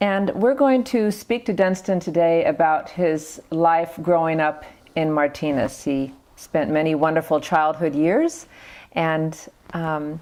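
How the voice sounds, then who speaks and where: A woman with a fairly low pitch and a dark, mellow tone speaks at a fairly slow pace. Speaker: oral history interviewer. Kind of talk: interview introduction.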